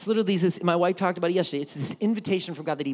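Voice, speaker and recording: A man speaks with an American accent. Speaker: pastor. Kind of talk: sermon. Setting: church. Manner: animated.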